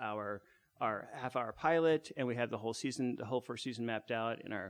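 With an American accent, a man talks at a fairly quick pace and a medium pitch in an unremarkable speaking voice against a quiet background. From US Southwest, Phoenix. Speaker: improv comedian. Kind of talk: casual chat.

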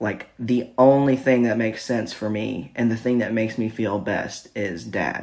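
A man talks in an unremarkable speaking voice. His pitch is medium, with ordinary variation. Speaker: podcast host. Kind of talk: casual chat. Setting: home recording with wife.

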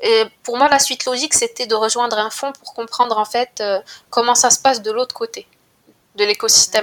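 Delivery comes at a moderate pace. Pitch varies in an ordinary way. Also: woman, high pitch for a woman. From Morocco, Casablanca. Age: 20s. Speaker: student and venture capital analyst. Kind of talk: interview.

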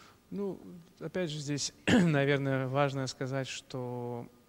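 A fairly high-pitched male voice at a very slow pace, with ordinary pitch variation. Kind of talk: live interview. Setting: live stream after concert.

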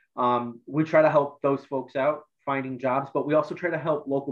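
The speaker is a man with a medium pitch. His delivery is flat and monotone. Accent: Ohio. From northeast Ohio, Lorain County. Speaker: workforce development coordinator. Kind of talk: interview.

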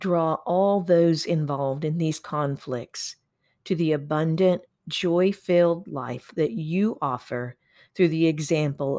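A man with an American accent at a very slow pace, fairly high in pitch with ordinary variation, in a very clean recording with a silent background. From Oklahoma, US. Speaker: pastor. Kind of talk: guided prayer. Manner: fervent, earnest; halting, with fillers.

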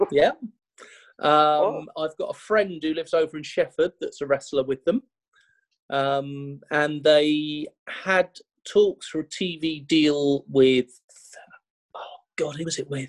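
A man with a British accent speaks at a very slow pace, pitched fairly high, with fairly even intonation, long and frequent pauses, and a dry, close sound with no echo. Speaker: wrestling podcast co-host. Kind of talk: casual chat.

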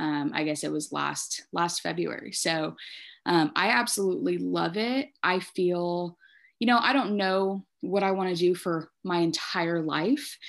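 A woman has an ordinary speaking voice, fairly low in pitch, with lively intonation at a fairly slow pace. The recording is very clean, with a silent background. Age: 20s. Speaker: nonprofit director. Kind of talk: podcast interview.

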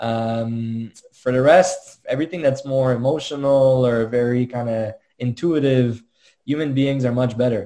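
A man with a French accent speaks at a medium pitch and a fairly slow pace, his intonation fairly even and his tone dark and mellow. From Quebec, Montreal. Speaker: tech startup co-founder. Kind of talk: interview.

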